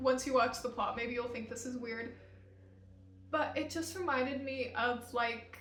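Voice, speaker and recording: Speaking with an American accent, a woman's high voice moves at a moderate pace with ordinary pitch variation. Room echo is audible, and background noise is noticeable. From Utah. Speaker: vlogger. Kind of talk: casual chat.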